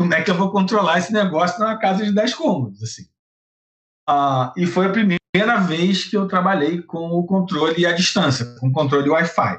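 A man speaks at a moderate pace in a high voice whose pitch varies in an ordinary way. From Brazil, Rio de Janeiro. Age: 50s. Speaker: lighting designer and theatre researcher. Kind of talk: interview.

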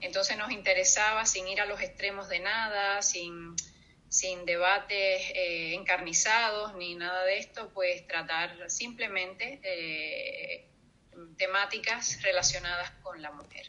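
A woman speaks at a very slow pace with a medium pitch. Her loudness swings widely while her intonation stays fairly even. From Cuba. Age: 50s. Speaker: storyteller and writer. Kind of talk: interview.

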